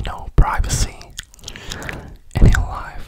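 A man whispers. His voice is breathy. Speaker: ASMR creator. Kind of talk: ASMR whisper chat. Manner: whispered, breathy. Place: home room. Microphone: studio mic.

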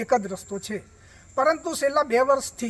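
This man's pitch is extremely high. It moves with ordinary pitch variation. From Gujarat, India. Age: 60s. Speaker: villager. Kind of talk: public complaint to reporter.

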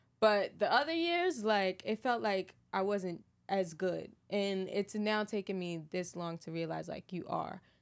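At a fairly slow pace, a woman with an American accent speaks with ordinary pitch variation against a quiet background. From Philadelphia, US. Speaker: fashion designer; podcast guest. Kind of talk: casual chat. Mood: relaxed, reflective. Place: studio. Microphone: studio mic.

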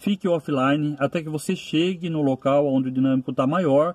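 Recorded dry with no echo, a man talks at a moderate pace with ordinary pitch variation. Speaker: rideshare driver vlogger. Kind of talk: casual vlog advice. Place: car. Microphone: phone near.

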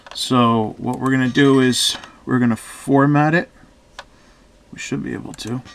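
A man talks with fairly even intonation and long, frequent pauses over noticeable background noise. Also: medium pitch for a man, moderate pace, big swings in loudness. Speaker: tech reviewer. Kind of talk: tutorial.

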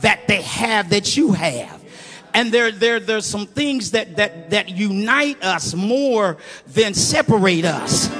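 A high-pitched man with an American accent at a very slow pace, faint music in the background. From Muncie, Indiana. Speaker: preacher giving a eulogy. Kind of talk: informal, call-and-response preaching. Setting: church funeral service. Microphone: handheld.

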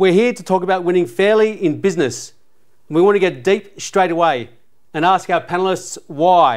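Over a quiet background, a man with an Australian accent talks at a moderate pace in a high pitch with ordinary pitch variation. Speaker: podcast host, former footballer; podcast host. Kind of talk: panel discussion. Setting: sports venue studio. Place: studio. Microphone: lapel.

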